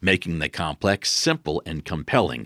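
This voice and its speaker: With an American accent, a man speaks at a very deep, low pitch in a bright, sharp tone with vocal fry, captured in a very clean recording with a silent background. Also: dry, close sound with no echo. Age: 50s. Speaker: leadership speaker and trainer. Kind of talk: solo podcast talk. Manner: direct, blunt.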